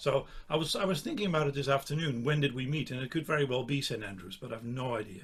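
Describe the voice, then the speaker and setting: Using vocal fry, a man of medium pitch talks at a very fast pace. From Netherlands. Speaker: saxophonist. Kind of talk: casual interview chat.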